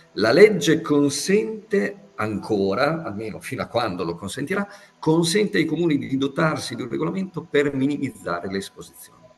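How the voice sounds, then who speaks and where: A man's fairly high voice at a moderate pace, full of very wide pitch swings, over noticeable background noise. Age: 60s. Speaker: physicist and professor. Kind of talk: interview.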